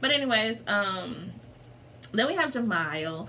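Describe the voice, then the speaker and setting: A woman at a moderate pace, amid noticeable background noise and audible room echo. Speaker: vlogger. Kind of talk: casual chat. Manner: animated.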